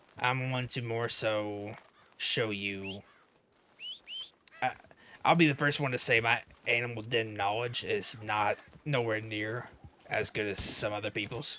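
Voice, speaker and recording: Using a put-on character voice, a man speaks raspily at a medium pitch and a moderate pace, with long, frequent pauses. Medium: game stream. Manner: casual, rambling, self-deprecating.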